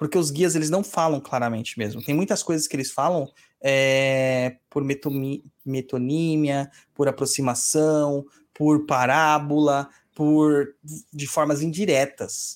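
On a very clean recording with a silent background, a man with a fairly high pitch talks very slowly, his intonation fairly even. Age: 40s. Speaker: podcast host and umbanda priest. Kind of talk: casual chat answering listener emails. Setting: live stream.

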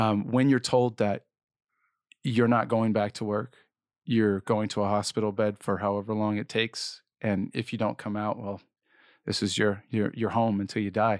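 A man's fairly low, monotone voice with flat intonation, at a moderate pace in a dry, close sound with no echo. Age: 30s. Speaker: cancer survivor and speaker. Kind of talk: personal testimony interview.

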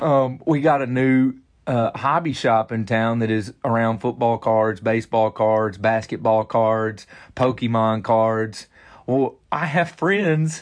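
Over a quiet background, a man in a Southern US accent speaks at a very slow pace with very even loudness. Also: medium pitch for a man, ordinary pitch variation. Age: 30s. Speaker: pastor. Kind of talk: interview.

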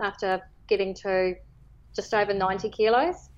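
A woman speaks with a New Zealand accent. Her pace is fairly slow. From New Zealand, Northland (Whangarei Heads). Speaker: property lawyer and fasting follower sharing her story. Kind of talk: casual interview. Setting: phone call.

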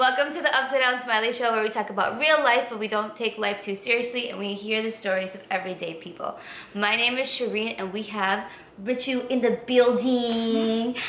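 Noticeable background noise runs under this clip. A woman speaks in a fairly high pitch with fairly even intonation. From US, Indian-American family. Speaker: podcast host. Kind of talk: casual chat. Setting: home recording.

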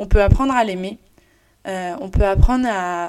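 A woman at a medium pitch and moderate pace, in a very clean recording with a silent background. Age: 20s. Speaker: podcaster. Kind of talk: solo personal monologue. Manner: halting, many fillers.

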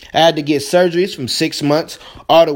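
With an animated tone, a man talks at a fairly high pitch and ordinary pitch variation. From Indiana, US Midwest. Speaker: podcast host and motivational speaker. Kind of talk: motivational monologue.

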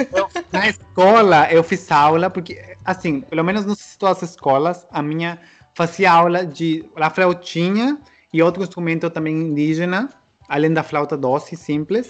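Pitched high, a man with a Spanish accent speaks at a fairly slow pace with ordinary pitch variation. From Peru, Trujillo. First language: Spanish (speaking Portuguese). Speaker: interviewee living abroad. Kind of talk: casual chat. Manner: halting.

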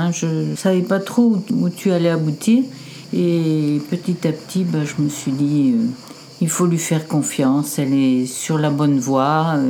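Speech comes at a very slow pace with ordinary pitch variation over noticeable background noise. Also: woman, very deep, low pitch for a woman. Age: 70s. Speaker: grandmother of the host. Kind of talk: casual family conversation.

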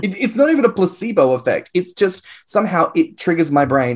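In a very clean recording with a silent background, a man talks at a moderate pace with an Australian accent. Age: 20s. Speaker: podcast co-host. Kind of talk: casual chat.

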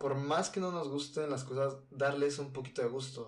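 Audible room echo surrounds a man with a Mexican accent who speaks with fairly even intonation. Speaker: student podcaster. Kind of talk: casual monologue. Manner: halting.

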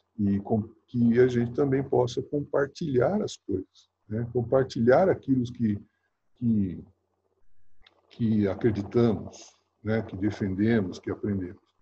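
A man's medium-pitched, somewhat breathy voice with a dark, mellow tone and ordinary pitch variation, at a very slow pace with long, frequent pauses. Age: 60s. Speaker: university professor and former basketball player and coach. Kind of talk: interview. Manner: halting, many fillers.

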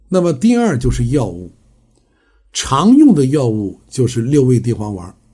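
This man talks fairly slowly with lively intonation, his somewhat breathy voice carrying a dark, mellow tone. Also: medium pitch for a man. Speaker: traditional Chinese medicine health lecturer. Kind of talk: lecture. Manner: frequent filler 啊 interjections.

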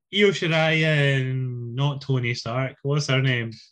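The speaker talks at a very slow pace with a British accent. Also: man. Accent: British English, can do Scottish. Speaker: wrestling podcast host. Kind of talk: casual banter.

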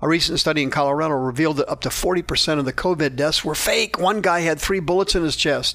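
The man's pitch rises and falls in an ordinary way. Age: 60s. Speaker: radio preacher and counselor. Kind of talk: radio Bible teaching.

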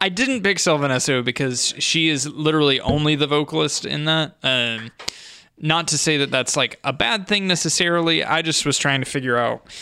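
Moderate pace, ordinary pitch variation and very even loudness over noticeable background noise. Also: man, fairly high pitch for a man. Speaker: podcast host. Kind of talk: casual chat.

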